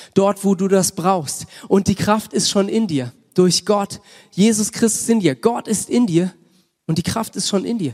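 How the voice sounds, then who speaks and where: A man speaks in a high pitch with a passionate tone at a fairly slow pace. The sound is dry and close, without echo. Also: ordinary pitch variation. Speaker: pastor. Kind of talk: sermon with prayer. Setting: church. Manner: passionate, fervent; informal, mixes English words.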